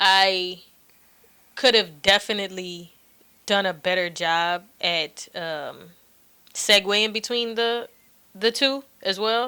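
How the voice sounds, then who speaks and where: In a very clean recording with a silent background, a woman speaks at a very slow pace with long, frequent pauses, using a medium pitch, ordinary pitch variation and a bright, sharp tone. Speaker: podcast host. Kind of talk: casual chat. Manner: soft-spoken.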